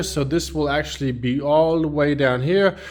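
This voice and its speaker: Speaking at a moderate pace, a man with a German accent shows ordinary pitch variation. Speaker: car mechanic. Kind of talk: tutorial. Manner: halting, with fillers.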